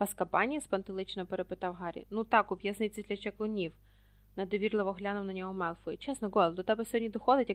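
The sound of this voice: An unforced voice reading, its intonation fairly level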